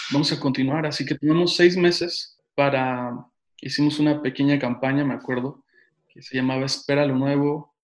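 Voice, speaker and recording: Against a quiet background, a man with a central Mexican accent speaks at a moderate pace in a fairly high, monotone voice with flat intonation and big swings in loudness. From Mexico City and Tehuacán, Puebla, Mexico. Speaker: pastor. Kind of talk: casual interview.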